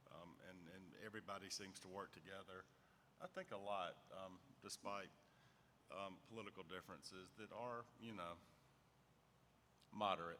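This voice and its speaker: With a Southern US accent, a man talks in a flat monotone at a fairly low pitch, his tone bright and sharp, leaving long, frequent pauses. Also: moderate pace. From US South, Alabama. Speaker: state regulator. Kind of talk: panel discussion.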